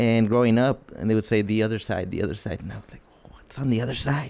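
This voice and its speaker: Fairly even intonation carries a dark, mellow tone with a Mexican accent. The pace is very fast. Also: man. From northern Mexico, Ciudad Juarez area. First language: Spanish. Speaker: podcast co-host. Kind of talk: casual chat.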